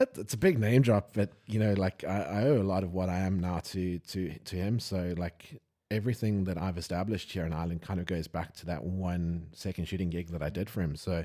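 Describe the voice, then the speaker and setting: A man with a South African accent, a very deep, low pitch and a dark, mellow tone, talking at a fairly quick pace with hardly any pauses and ordinary pitch variation, in a very clean recording with a silent background. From South Africa, Johannesburg. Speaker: wedding photographer, podcast host. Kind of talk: casual chat.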